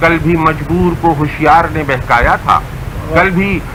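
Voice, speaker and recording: A man's high, monotone voice with flat intonation and noticeable background noise. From Lucknow, India. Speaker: Urdu poet. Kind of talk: poetry reading. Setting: radio broadcast.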